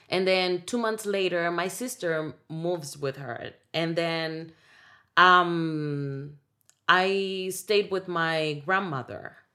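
A woman speaks very slowly, her pitch fairly low with ordinary variation. The recording is very clean, with a silent background. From Dominican Republic. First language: Spanish. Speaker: singer and actress. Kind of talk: casual conversation interview.

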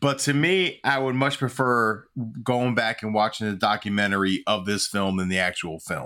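In a very clean recording with a silent background, a man with a fairly low pitch and a bright, sharp tone speaks at a moderate pace with lively intonation. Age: 40s. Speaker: podcast co-host and youth football coach. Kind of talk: casual chat.

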